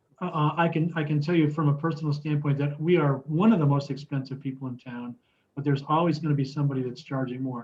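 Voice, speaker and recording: A man with a fairly high, somewhat breathy voice, fairly even intonation and a fairly quick pace. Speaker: construction consultant. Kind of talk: lecture. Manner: fast; halting, many fillers.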